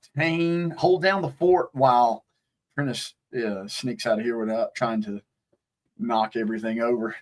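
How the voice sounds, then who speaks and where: The man's intonation is lively. He talks at a fairly slow pace. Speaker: podcast co-host. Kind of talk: casual live-stream chat while tasting bourbon. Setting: back patio at home. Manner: halting.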